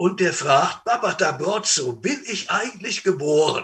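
Bright and sharp in tone, a man speaks in a high pitch with lively intonation. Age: old. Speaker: preacher. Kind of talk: sermon.

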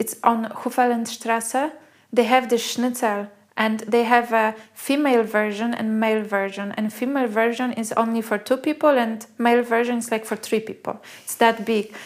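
A woman with a Polish accent speaks at a fairly high pitch and moderate pace, her intonation monotone and flat. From Poland. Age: 40s. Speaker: food blogger. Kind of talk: casual chat.

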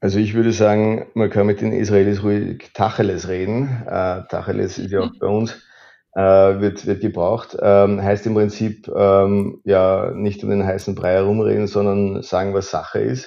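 At a fairly slow pace, a man talks in a monotone, flat intonation with a fairly low pitch. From Austria, Lower Austria (Bad Vöslau). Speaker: trade diplomat. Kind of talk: interview. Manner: hesitant fillers.

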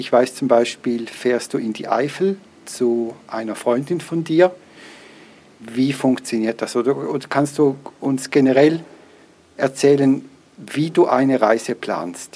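At a very slow pace with long, frequent pauses, a man speaks at a medium pitch. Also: ordinary pitch variation. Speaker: podcast host, blind. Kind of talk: podcast interview and product review. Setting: recording on the move, walking home.

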